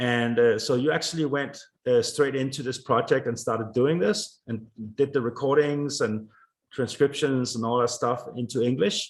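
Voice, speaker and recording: A man speaks at a moderate pace and medium pitch with ordinary pitch variation. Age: 50s. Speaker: interviewer, podcast host. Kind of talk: casual interview. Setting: live stream. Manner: hesitant, many fillers.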